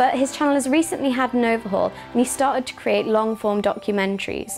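Fairly quick speech with ordinary pitch variation and faint music in the background. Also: woman. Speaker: presenter. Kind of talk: presenter commentary. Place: office. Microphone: lapel.

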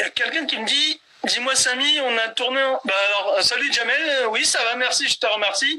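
A man's raised, projected voice at an extremely high pitch, with ordinary pitch variation. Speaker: live talk show host. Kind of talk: live interview chat. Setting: live stream on Instagram. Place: home room. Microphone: phone near.

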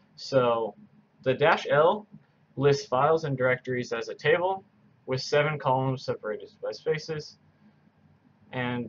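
With light background noise behind him, a somewhat breathy man speaks at a fairly slow pace with long, frequent pauses and ordinary pitch variation. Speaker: coding tutor. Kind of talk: tutorial. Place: home room.

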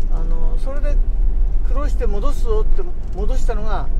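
Loud background noise sits under speech delivered at a fairly slow pace. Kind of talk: casual driving commentary. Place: car. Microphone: phone near.

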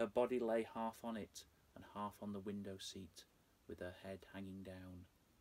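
Over light background noise, a man talks at a fairly slow pace in a fairly low voice. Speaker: storyteller. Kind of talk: dramatic story reading. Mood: dark, hushed, suspenseful. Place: home room.

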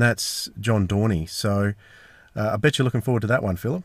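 Here is a man with an Australian accent. His pitch is medium and varies in an ordinary way. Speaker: podcast host. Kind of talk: casual chat. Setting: in a car. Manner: animated.

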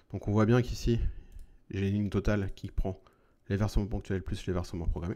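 The speech moves at a very fast pace with fairly even intonation and a dark, mellow tone. The background is quiet. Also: man. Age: 40s. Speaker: YouTuber on personal investing; investing tutorial creator. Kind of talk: tutorial. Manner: casual, with frequent hesitations.

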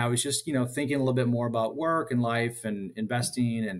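A man of medium pitch talks with an American accent and ordinary pitch variation. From US Midwest. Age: 40s. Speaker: dividend investor. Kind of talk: casual interview. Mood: friendly, relaxed storytelling.

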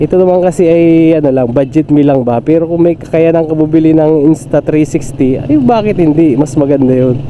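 A man's fairly high voice, fairly quick and fairly even in intonation, with very even loudness over noticeable background noise. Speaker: motovlogger, tricycle driver. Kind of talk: casual vlog narration while riding. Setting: on a motorcycle, outdoors. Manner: chatty, filler-heavy. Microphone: phone with clip-on mic under helmet.

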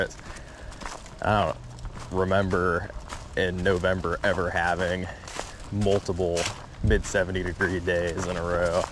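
With noticeable background noise and a dry sound with no echo, a man speaks at a moderate pace in a very deep, low pitch. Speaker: angler vlogger. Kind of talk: casual vlog chat. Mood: relaxed, easygoing. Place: waterside. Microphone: phone near.

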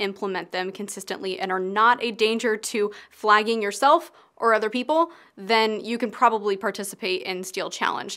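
The setting is quiet. Her delivery is moderately paced, with pitch that varies in an ordinary way. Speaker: firearms content creator. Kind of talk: educational vlog explanation. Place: home room.

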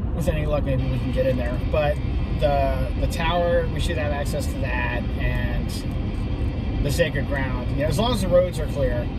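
A man speaks at a moderate pace. There is music in the background. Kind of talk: casual conversation. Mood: warm, reverent. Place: car. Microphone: phone near.

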